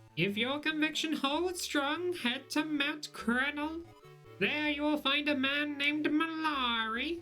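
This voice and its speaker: A put-on character voice pitched high, delivered at a fairly slow pace. Clear music plays in the background. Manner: solemn, grand.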